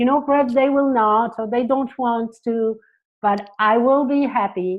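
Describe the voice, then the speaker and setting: Speaking fairly slowly in a French accent, a woman holds a high pitch with fairly even intonation. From France. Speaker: psychotherapist. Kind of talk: interview.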